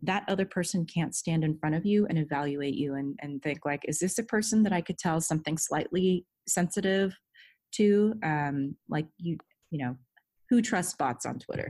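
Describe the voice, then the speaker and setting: A normal speaking voice with an American accent moves at a moderate pace with ordinary pitch variation. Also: woman. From Southern California. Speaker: head of security. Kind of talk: interview.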